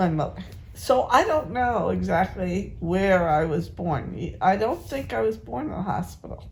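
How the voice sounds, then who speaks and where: Audible room echo around a woman's fairly slow speech in an American accent. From New England, Massachusetts. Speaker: family elder, interviewee. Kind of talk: family interview. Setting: at a family home.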